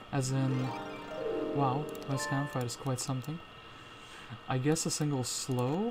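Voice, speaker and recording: The speech moves at a fairly slow pace with fairly even intonation. Music plays in the background. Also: man. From Latvia. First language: Latvian. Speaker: gaming streamer. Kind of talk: live gameplay commentary. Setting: live stream. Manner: casual, thinking aloud.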